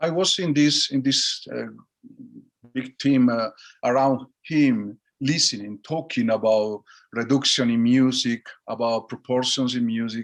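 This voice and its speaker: A man speaks with a Spanish accent at medium pitch. He keeps a fairly slow pace and ordinary pitch variation. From Basque Country, Spain. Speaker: orchestra conductor. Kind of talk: interview answer over video call. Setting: video call. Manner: soft-spoken, open, warm.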